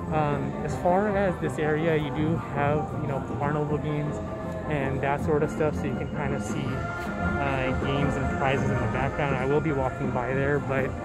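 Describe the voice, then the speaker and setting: Loud music plays in the background as a man speaks at a moderate pace. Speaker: park vlogger. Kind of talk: casual vlog commentary. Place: street. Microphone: phone near.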